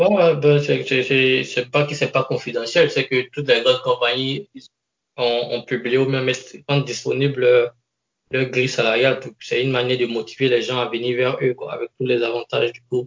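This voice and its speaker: This man uses a normal speaking voice with a medium pitch. He keeps a moderate pace, and his intonation stays fairly even. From Ivory Coast. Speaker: engineer with a doctorate. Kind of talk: interview.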